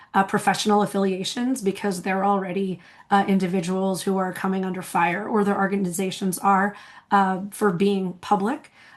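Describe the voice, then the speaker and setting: Speaking at a moderate pace, a woman uses a medium pitch and a monotone, flat intonation. The background is quiet. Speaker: scholarly publishing professional and speaker. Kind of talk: conference presentation. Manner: hesitant, many fillers.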